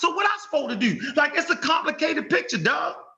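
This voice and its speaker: A man in a raised, projected voice, animated in tone, at a very fast pace with very wide pitch swings. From US. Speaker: online discussion host. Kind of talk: casual debate chat.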